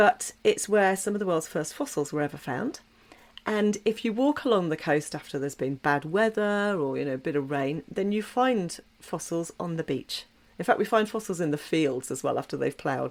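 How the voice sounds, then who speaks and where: Speaking with an English accent, a woman has a fairly low pitch and lively intonation. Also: very clean recording, silent background. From southwest England, Dorset. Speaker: podcast host. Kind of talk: solo podcast monologue.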